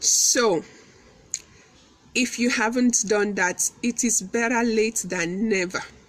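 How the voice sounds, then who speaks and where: Against noticeable background noise, a woman talks at a very slow pace with long, frequent pauses, very even loudness and ordinary pitch variation. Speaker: motivational speaker and business owner. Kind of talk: motivational talk. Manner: fluent; animated.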